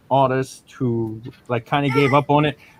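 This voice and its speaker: This man speaks with a New York accent. His pitch is medium and his intonation fairly even. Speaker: comic book creator. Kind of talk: casual chat. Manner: halting, repeats words.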